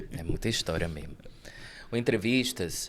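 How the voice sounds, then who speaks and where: A man speaks with a northeastern Brazilian accent. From Brazil, Rio Grande do Norte (Northeast). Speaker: theater actor and cultural producer. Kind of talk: podcast interview.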